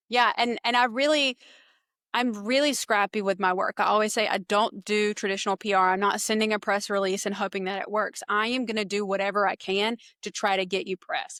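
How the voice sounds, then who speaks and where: Speaking with a Southern US accent, a woman talks at a fairly quick pace and medium pitch with fairly even intonation. Her tone is bright and sharp, in a dry, close sound with no echo. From eastern North Carolina, US South. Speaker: public relations business owner. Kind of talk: podcast interview. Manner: casual.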